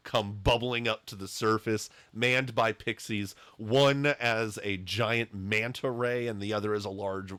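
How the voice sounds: The speaker uses a natural reading voice. That is the whole of it.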